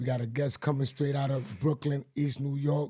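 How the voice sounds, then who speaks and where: A dark, mellow tone marks this voice. It is also somewhat breathy. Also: man. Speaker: podcast host. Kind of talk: podcast intro. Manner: upbeat.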